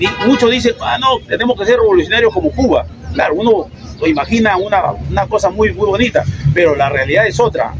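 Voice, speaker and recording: Against noticeable background noise, a high-voiced man speaks at a fairly quick pace with very wide pitch swings. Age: 70s. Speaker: debate participant. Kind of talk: street debate. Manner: halting.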